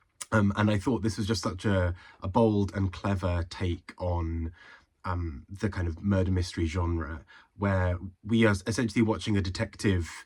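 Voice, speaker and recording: A somewhat breathy male voice comes through a very clean recording against a silent background. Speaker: book reviewer. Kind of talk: casual talk to camera.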